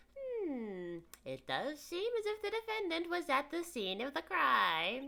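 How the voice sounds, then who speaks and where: A put-on character voice sits at an extremely high pitch. It moves at a fairly slow pace. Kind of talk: courtroom speech. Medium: game stream.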